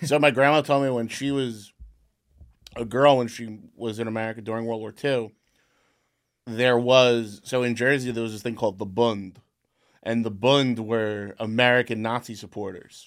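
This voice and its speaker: In a very clean recording with a silent background, a man of medium pitch speaks at a moderate pace in an ordinary speaking voice, with big swings in loudness. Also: fairly even intonation. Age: 30s. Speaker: podcast host. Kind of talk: casual chat. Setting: studio.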